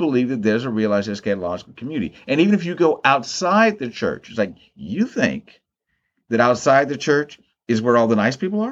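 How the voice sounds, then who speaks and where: Against a quiet background, a man talks at a fairly quick pace with very wide pitch swings. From US, Maryland. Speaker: theologian and professor. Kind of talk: interview conversation. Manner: halting, frequent repetitions.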